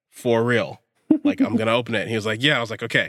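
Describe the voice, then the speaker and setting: With an American accent, a man at medium pitch speaks at a very fast pace in a bright, sharp tone and monotone, flat intonation. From US West Coast, Northern California (Bay Area, Contra Costa County). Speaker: podcast co-host. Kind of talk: casual chat.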